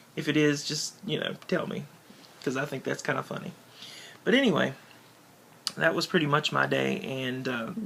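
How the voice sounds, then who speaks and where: A man's fairly high voice with long, frequent pauses and noticeable background noise. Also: ordinary pitch variation, moderate pace. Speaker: vlogger. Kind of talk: casual vlog talk to camera. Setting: at home on the bed, talking to camera. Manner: hesitant, many fillers.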